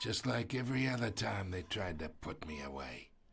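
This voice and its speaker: A man uses a raspy put-on character voice, very deep and low in pitch. He speaks at a moderate pace with very wide pitch swings. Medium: video game. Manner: smug, insinuating.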